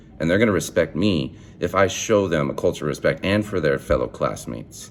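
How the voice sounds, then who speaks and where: This man has a very deep, low pitch with vocal fry, speaking at a moderate pace in an animated tone with lively intonation. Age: young. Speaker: student teacher. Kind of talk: video assignment monologue. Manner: loud; animated, halting with repeated words.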